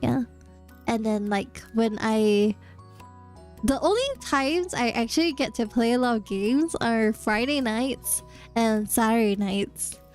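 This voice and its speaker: With music in the background, a woman with a fairly high voice speaks at a fairly slow pace, using ordinary pitch variation and very even loudness. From Singapore. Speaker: vtuber. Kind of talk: casual talk to stream chat.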